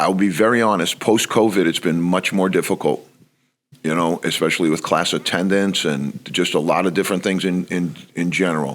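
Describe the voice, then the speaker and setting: With a New York accent, a man talks at a fairly quick pace in a very deep, low pitch and fairly even intonation. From New York (Bronx). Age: 60s. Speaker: college basketball coach. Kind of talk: podcast interview.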